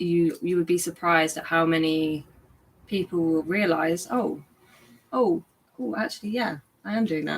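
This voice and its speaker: A woman speaks at a moderate pace in a fairly low pitch, leaving long, frequent pauses. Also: ordinary pitch variation. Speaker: guest course teacher. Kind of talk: live stream Q and A. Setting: YouTube live stream.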